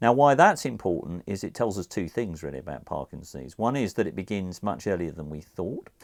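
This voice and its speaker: A man speaks with a very deep, low pitch and vocal fry, his pitch swinging very widely. He leaves hardly any pauses. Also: fairly quick pace. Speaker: neurologist and professor. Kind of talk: expert talk to camera.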